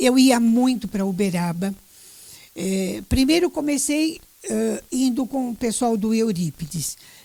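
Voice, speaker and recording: A woman's somewhat breathy voice has a dark, mellow tone and very wide pitch swings. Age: 70s. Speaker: retired journalist and teacher. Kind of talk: interview. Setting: radio.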